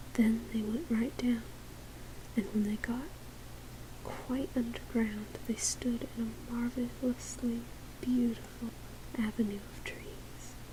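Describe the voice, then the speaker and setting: A soft-spoken voice at a very slow pace, full of long, frequent pauses, over noticeable background noise. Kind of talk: read story.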